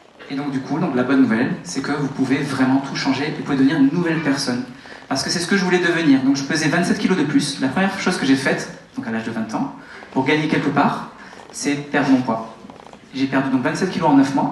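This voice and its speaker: Fairly quick in pace, a man speaks at a fairly high pitch with ordinary pitch variation. Noticeable background noise and audible room echo are present. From France, Toulouse. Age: 30s. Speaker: network marketing motivational speaker. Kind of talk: motivational talk on stage. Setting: stage with audience. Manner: animated.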